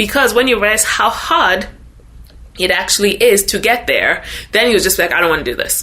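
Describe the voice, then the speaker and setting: With a Ghanaian accent, a woman talks at a fairly quick pace amid audible room echo and noticeable background noise. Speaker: social media influencer. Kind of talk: interview podcast.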